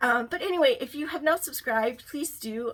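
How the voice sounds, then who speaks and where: A woman speaks in a raised, projected voice at a moderate pace. Her tone is bright and sharp. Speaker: lifestyle vlogger. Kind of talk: casual tutorial vlog.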